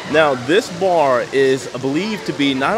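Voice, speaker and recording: The speech has ordinary pitch variation. Clear music plays in the background. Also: man. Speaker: travel vlogger. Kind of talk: travel vlog commentary. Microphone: phone near.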